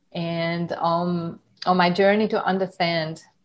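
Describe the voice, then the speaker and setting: At a very slow pace, a woman speaks in a fairly low pitch. Her intonation is monotone and flat. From Hungary (countryside). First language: Hungarian. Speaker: yoga teacher. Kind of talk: interview.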